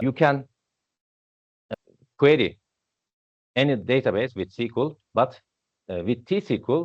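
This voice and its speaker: A man speaks with a Turkish accent. His pace is fairly slow. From Turkey. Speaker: database instructor. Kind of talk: technical presentation. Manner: halting.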